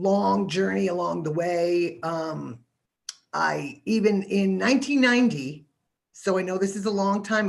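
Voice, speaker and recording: A woman's unremarkable speaking voice, medium in pitch, with lively intonation. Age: 60s. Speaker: university microbiology staff and panelist. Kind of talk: career panel talk. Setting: live-streamed virtual panel.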